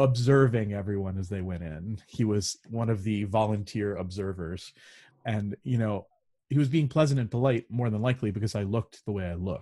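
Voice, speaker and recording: This man talks at a fairly quick pace in a fairly low pitch with a dark, mellow tone and ordinary pitch variation, recorded very cleanly against a silent background. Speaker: choral conductor and singer. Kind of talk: casual chat.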